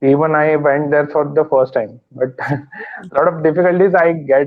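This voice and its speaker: A man speaks with a Marathi accent. His pace is fairly slow. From India, Maharashtra. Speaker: English learner. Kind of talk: casual chat. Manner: halting.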